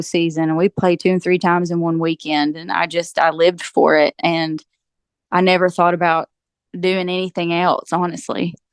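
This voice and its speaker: Against a quiet background, a woman with a strong eastern Kentucky accent speaks at a fairly low pitch and fairly quick pace in a flat monotone, the sound dry and close with no echo. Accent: eastern Kentucky, thick. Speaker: country singer-songwriter. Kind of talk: interview. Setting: podcast.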